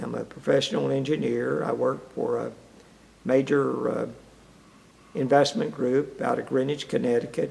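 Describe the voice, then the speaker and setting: With an Appalachian accent, a man speaks at a fairly slow pace with long, frequent pauses over noticeable background noise. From eastern Kentucky. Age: 70s. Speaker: retired-age mining engineer. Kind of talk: oral history interview. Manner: halting.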